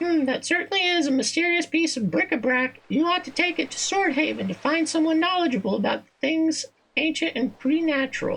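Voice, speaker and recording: In a put-on character voice, someone speaks softly in a squeaky, high, sing-song way at a fairly quick pace. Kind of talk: performer voicing game dialogue. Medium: game stream. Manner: winsome, coquettish.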